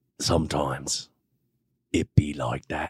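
A man's raspy, put-on character voice in a British accent at a fairly slow pace. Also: very deep, low pitch for a man.

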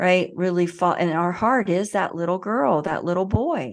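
A woman with a Southern US accent speaks at a fairly low pitch with ordinary pitch variation. The background is quiet. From US South. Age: 40s. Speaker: emotional healing educator. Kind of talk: interview.

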